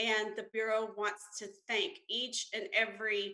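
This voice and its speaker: A woman's fairly high, bright and sharp voice with an Alabama accent. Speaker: census bureau representative. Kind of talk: presentation to city council.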